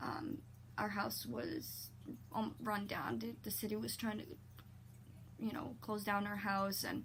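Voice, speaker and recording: Audible room echo surrounds speech at a fairly slow pace with long, frequent pauses. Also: woman. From Poland, moved to Ontario, Canada at about 8. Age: 20s. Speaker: vlogger. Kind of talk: personal testimony vlog. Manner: halting, many fillers and repetitions.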